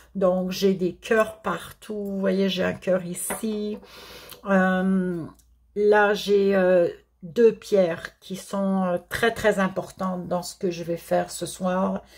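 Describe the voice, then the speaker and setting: A woman with a Quebec accent speaks very slowly at a medium pitch in a monotone, flat delivery, on a very clean recording with a silent background. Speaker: therapist and card reader. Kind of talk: tarot-style spiritual guidance. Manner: halting, stammering.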